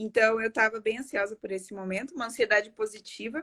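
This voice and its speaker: A woman's bright, sharp voice, fairly high in pitch with fairly even intonation, in a dry, close recording with no echo. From Paraguay. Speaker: architect and live-stream host. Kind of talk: live-stream interview. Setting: online live stream.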